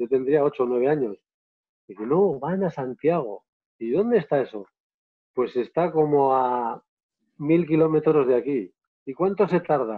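Against a quiet background, a man talks at a fairly slow pace with lively intonation and long, frequent pauses. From Navarre, Spain. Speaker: photographer and filmmaker, travel guide. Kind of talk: live online interview. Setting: live video stream. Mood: warm, enthusiastic storytelling. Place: home room. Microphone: earbuds.

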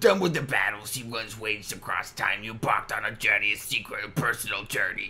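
Using a put-on character voice, a man speaks fairly quickly in a raspy, medium-pitched tone over light background noise. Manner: reading very fast.

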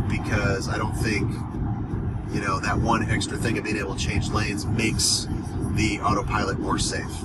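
Loud background noise sits behind the speaker. A man talks at a moderate pace. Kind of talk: casual vlog chat. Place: car. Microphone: phone near.

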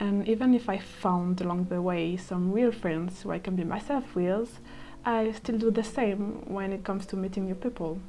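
With a French accent, a woman speaks at a moderate pace and medium pitch, her intonation fairly even, while noticeable background noise runs underneath. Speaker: architecture student, vlogger. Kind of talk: personal reflective monologue.

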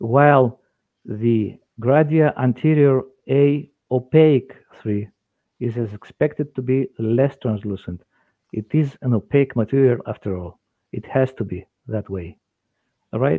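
Against a quiet background, a man with a Greek accent speaks at a fairly slow pace with ordinary pitch variation and long, frequent pauses. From Greece. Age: 50s. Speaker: dentist and lecturer. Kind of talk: lecture. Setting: video call. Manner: halting. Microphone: headset.

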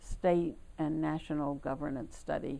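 Woman's voice with ordinary pitch variation. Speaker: longtime civic volunteer, former league president. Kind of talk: unhurried oral-history recollection, an older woman recounting her civic life story. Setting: recorded interview. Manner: reflective, frequent filler words and hesitations; warm, lightly self-amused storytelling with a laugh. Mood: calm reflective recollection. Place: home room. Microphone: lapel.

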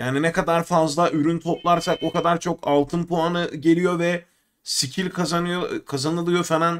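Over a quiet background, a man speaks at a moderate pace. His pitch is high. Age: 30s. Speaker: gaming streamer. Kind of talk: live game commentary. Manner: casual. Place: home room.

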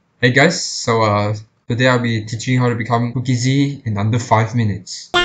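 A man's medium-pitched voice at a moderate pace, with music in the background. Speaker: gaming YouTuber. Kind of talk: sarcastic gaming tutorial talk. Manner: sarcastic, joking.

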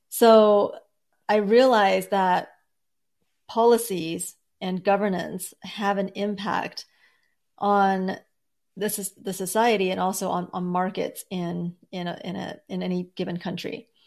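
A woman with an American accent speaks at a fairly slow pace and medium pitch in a monotone, flat intonation, with long, frequent pauses and big swings in loudness against a quiet background. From born in Beijing, raised in the US from age nine. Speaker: index founder, former wealth advisor. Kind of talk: interview.

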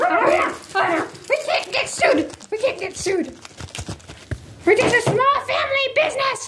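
Over clear background noise, a cartoonish character voice at extremely high pitch goes at a moderate pace with long, frequent pauses. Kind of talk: comedic puppet show dialogue. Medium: puppet.

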